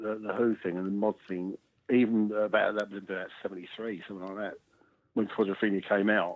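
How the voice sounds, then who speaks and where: A man in a South London accent, with a fairly low pitch. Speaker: musician in a mod band. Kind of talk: casual interview.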